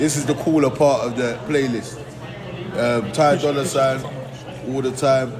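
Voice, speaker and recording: A man talks at a moderate pace with fairly even intonation. Noticeable background noise and audible room echo surround the recording. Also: medium pitch for a man. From Nigeria, then England. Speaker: rapper. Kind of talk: casual interview chat.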